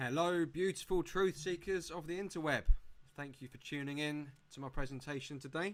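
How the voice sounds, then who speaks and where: With an English accent, a man talks at a fairly quick pace in a fairly high voice, his pitch varying normally while his loudness swings widely. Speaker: presenter. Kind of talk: presentation.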